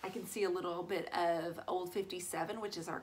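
A woman speaking at a moderate pace. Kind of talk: tutorial. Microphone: phone near.

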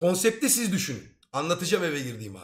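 A man with a fairly high voice speaks at a moderate pace, his pitch swinging very widely. The recording is very clean, with a silent background. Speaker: streamer. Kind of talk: casual chat. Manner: animated.

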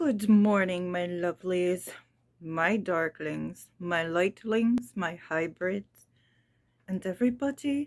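Against a quiet background, a woman talks at a very slow pace with long, frequent pauses and ordinary pitch variation. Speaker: tarot channel host. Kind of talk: casual vlog chat. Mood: warm, playful. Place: home room.

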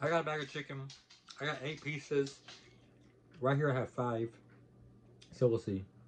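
A man speaks in a somewhat breathy voice with fairly even intonation. Light background noise can be heard. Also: moderate pace. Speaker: mukbang vlogger. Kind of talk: casual vlog chat. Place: home room. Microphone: phone near.

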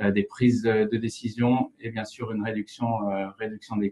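A man's voice at medium pitch. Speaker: geomatics analyst. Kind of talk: software tutorial. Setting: online webinar.

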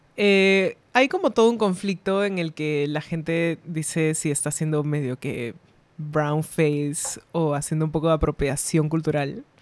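This woman has a very deep, low voice and ordinary pitch variation. She speaks at a fairly slow pace. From Peru. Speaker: illustrator; podcast guest. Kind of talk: casual chat. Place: studio. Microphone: studio mic.

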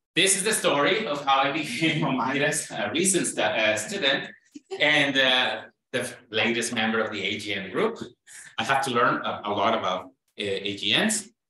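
A man talks at a moderate pace, with audible room echo around his voice. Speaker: presenter. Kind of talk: lecture. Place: hall.

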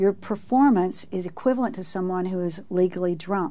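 Pitch moves up and down in a normal way. The accent is American. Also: woman. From Texas. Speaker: research professor. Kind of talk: interview. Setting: studio. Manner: halting. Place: studio.

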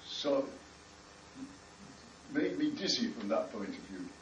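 A man with a British accent is heard with audible room echo and light background noise. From United Kingdom. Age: 80s+. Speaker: rabbi, former army chaplain. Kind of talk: personal recollection. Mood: solemn, grave. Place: hall. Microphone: camera far.

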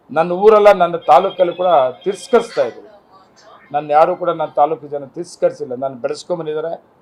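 Noticeable background noise runs under the speech, and the loudness swings a lot. Pitch variation is ordinary. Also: man, high pitch for a man. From Kolar district, Karnataka (Malur). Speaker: politician, sitting MLA. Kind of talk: press interview statement.

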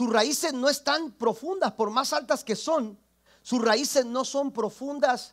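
A man talks at a very slow pace with a quiet background. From Mexico, Tampico area; Mexico. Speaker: pastor; preacher. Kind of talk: sermon. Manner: halting, repeats words. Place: church.

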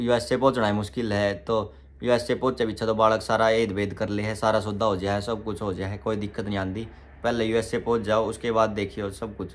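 Speaking at a moderate pace, a man uses a fairly low pitch and a monotone, flat intonation. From Haryana, Panipat; Haryana. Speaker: vlogger. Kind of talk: Q&A vlog. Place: home room. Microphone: phone near.

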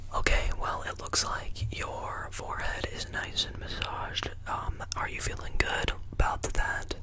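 A man whispers at a fairly slow pace with hardly any pauses, against noticeable background noise. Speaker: ASMR creator. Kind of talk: ASMR role-play, face massage. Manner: soft, slow, soothing.

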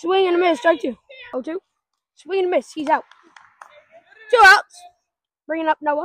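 With an extremely high pitch and a raised, projected voice, a woman speaks at a moderate pace with ordinary pitch variation and long, frequent pauses, over a quiet background with a dry sound and no echo. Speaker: wiffle ball league organizer and commentator. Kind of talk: sports commentary. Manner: casual, joking, excitable and a bit scattered. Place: open country. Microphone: phone near.

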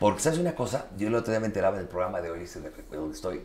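Amid audible room echo, a man with a Mexican accent speaks at a very fast pace and fairly low pitch, with very wide pitch swings. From Mexico. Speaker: interviewer. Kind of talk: casual interview. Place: home room. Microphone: lapel.

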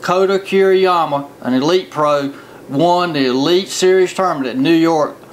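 A man speaks in a high voice. Light background noise can be heard. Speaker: fishing show host. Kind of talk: tv show presentation. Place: studio.

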